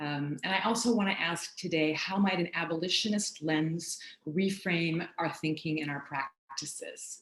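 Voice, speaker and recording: A woman with an American accent has an unremarkable speaking voice at a fairly low pitch. She keeps a moderate pace with hardly any pauses and ordinary pitch variation. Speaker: professor. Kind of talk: academic talk.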